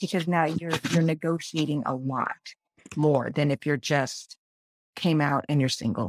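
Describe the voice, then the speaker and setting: In a dry, close sound with no echo, a woman with a very deep, low pitch and ordinary pitch variation speaks at a fairly slow pace with very even loudness. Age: 50s. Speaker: podcast guest in a support group discussion. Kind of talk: casual group conversation.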